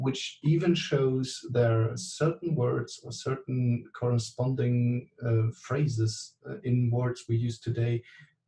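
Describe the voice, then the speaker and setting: A man with a German accent talks at a very slow pace with hardly any pauses. His voice is somewhat breathy, with a dark, mellow tone and fairly even intonation. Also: medium pitch for a man. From Germany. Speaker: class participant. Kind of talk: online class discussion. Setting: video call. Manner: halting, many fillers.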